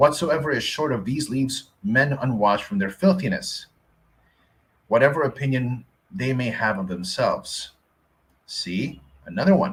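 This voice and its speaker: A man's somewhat breathy voice in a Filipino accent, with very wide pitch swings and long, frequent pauses. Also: medium pitch for a man, moderate pace. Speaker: Bible teacher. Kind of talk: reading aloud with commentary.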